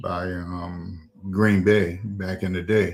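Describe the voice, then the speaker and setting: A man talks in a very deep, low voice with fairly even intonation. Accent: South Carolina Lowcountry. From South Carolina, Charleston. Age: 70s. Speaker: retired football coach and school administrator. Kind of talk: interview. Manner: halting, many fillers.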